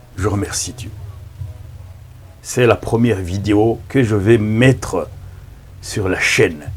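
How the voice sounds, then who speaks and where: With a Rwandan accent, a man speaks at fairly low pitch and a very slow pace with long, frequent pauses, amid audible room echo and music in the background. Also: ordinary pitch variation. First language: Kinyarwanda (speaking French). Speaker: pastor. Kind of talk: sermon. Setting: filmed in front of a camera. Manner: halting.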